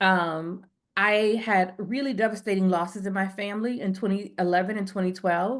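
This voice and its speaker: Fairly even intonation over a quiet background. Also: woman, medium pitch for a woman. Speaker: counseling psychologist. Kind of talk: webinar presentation. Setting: video call webinar. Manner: fast.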